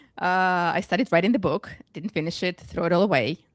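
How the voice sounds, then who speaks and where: A woman with a Russian accent talks at a fairly quick pace in a medium pitch. The sound is dry and close with no echo, on a very clean recording with a silent background. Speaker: business book author and coach. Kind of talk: panel discussion.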